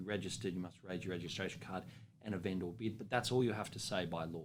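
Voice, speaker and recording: Speaking with an Australian accent, a man talks at a very fast pace in a confident tone. His intonation stays fairly even. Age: young. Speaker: auctioneer. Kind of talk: interview answer about auctioneering. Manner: confident, conversational.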